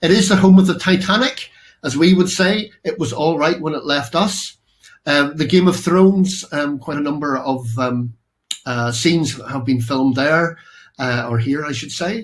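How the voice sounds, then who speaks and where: This man has a Northern Irish accent and a fairly high, somewhat breathy voice. His intonation is lively and his pace moderate. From Northern Ireland. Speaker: architect and professor, keynote speaker. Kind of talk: keynote presentation. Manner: halting, many fillers.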